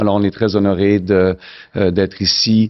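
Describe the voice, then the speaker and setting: Here a man talks with a Canadian French accent at a fairly low pitch. His intonation is fairly even. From Canada. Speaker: forum chief executive, conference host. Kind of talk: welcoming speech.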